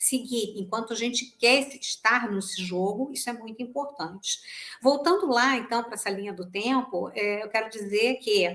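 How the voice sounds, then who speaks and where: At a moderate pace, an unremarkable speaking voice moves with ordinary pitch variation. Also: woman, fairly high pitch for a woman. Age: 60s. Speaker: sales professional and trainer. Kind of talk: podcast interview.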